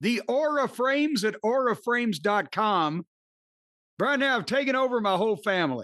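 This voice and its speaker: A high-pitched man with a Midwestern accent speaks at a moderate pace with lively intonation. His loudness is very even, and the background is quiet. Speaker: podcast host reading an ad. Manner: comedic, rambling delivery.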